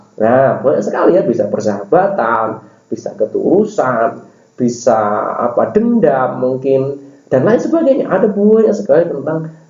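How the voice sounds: A dark, mellow tone carries lively intonation at a moderate pace. Audible room echo fills the recording. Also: man.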